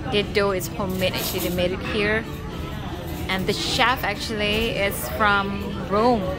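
A woman talks at a moderate pace. Clear music plays in the background. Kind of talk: casual vlog chat. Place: cafe. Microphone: phone near.

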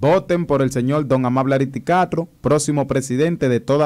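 Against a quiet background, a man talks at a moderate pace with a medium pitch. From Dominican Republic, Higüey (La Altagracia); Dominican Republic. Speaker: viral internet personality and political fan; interview guest. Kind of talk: casual interview. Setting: radio and TV studio. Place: studio. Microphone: studio mic.

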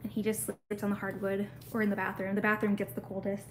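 Somewhat breathy, a woman with an American accent speaks at a medium pitch with ordinary pitch variation over light background noise. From US Midwest. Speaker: pet YouTuber. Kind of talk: casual livestream chat. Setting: home livestream. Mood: relaxed, chatty. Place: home room. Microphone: phone near.

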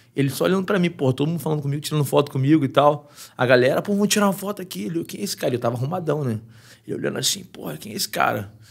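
Very fast, somewhat breathy delivery with lively intonation against a quiet background. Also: man, fairly high pitch for a man. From Brazil. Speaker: MMA fighter; podcast guest. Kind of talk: casual chat. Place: studio. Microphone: studio mic.

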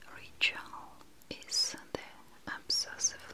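In hushed, whispered tones, a woman is talking. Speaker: ASMR creator playing a spa attendant. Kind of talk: soft roleplay talk and sponsor read.

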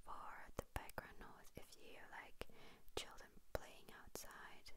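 Loud background noise accompanies a woman speaking at a very slow pace. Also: dry sound with no echo. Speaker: ASMR creator. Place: home room. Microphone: handheld.

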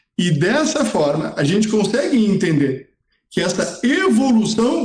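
Here a man talks with high pitch. His pitch swings very widely. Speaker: psychiatrist. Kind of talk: expert explanation. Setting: video call. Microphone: poor audio with long delay.

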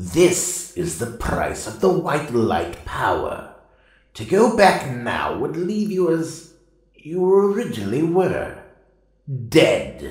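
A man puts on a character voice pitched high, speaking very slowly with a clear echo around him. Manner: stern, lecturing.

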